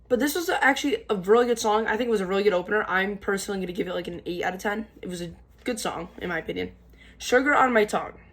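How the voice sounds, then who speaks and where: A woman talks at a very fast pace. Her voice sits at a medium pitch. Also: ordinary pitch variation. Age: young. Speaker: music reviewer / YouTuber. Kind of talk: casual album review to camera. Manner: halting, stuttering with many fillers.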